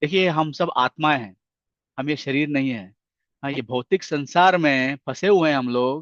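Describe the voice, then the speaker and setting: A man speaks in a plain, everyday voice with a fairly high pitch and ordinary pitch variation. The sound is dry and close with no echo, over a quiet background. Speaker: spiritual lecturer. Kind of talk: religious lecture.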